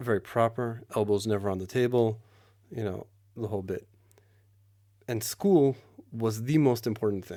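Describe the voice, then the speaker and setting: Here a man speaks with an American accent and a dark, mellow tone. His pitch varies in an ordinary way, on a very clean recording with a silent background. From New York, Queens. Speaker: army reservist. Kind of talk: podcast conversation.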